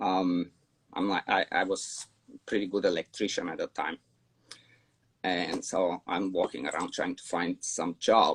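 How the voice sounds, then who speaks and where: A fairly slow delivery in a Bulgarian accent, with long, frequent pauses and a dry, close sound with no echo. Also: man. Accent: foreign accent, Bulgarian. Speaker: dog trainer. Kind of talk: interview storytelling. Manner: casual, with many fillers and repeats.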